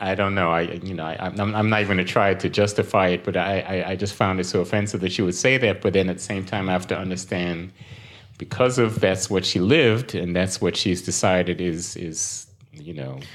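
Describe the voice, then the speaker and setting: A man's very deep, low voice with an American accent, fairly quick pace and fairly even intonation. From Brooklyn, New York. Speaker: financial professional. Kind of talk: casual interview conversation. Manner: halting, repeats words.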